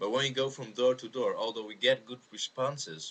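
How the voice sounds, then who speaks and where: A man talks with a Dutch accent. His pace is fairly quick, with ordinary pitch variation. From Netherlands. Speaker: Jehovah's Witness video responder. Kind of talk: video response monologue. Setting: webcam recording. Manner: halting, many fillers.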